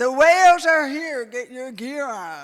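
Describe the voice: A put-on character voice, high in pitch, talks at a fairly slow pace.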